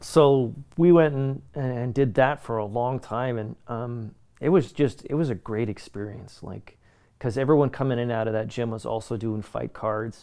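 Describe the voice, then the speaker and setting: A man with a Canadian accent, medium pitch and a dark, mellow tone, ordinary pitch variation, moderate pace, over a quiet background. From Canada. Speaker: voice actor and martial artist. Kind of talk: casual interview.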